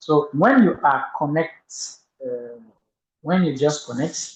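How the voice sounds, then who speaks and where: A somewhat breathy male voice with a French accent, pitched fairly high for a man. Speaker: toastmasters club member. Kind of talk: tutorial. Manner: halting.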